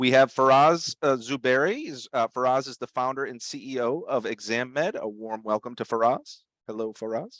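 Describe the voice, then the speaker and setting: Speaking with a Boston accent at a medium pitch, a man barely pauses, his loudness swinging widely and his pitch varying in an ordinary way, over a quiet background with a dry, close sound and no echo. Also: moderate pace. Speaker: webinar host. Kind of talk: webinar presentation. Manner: halting, many fillers.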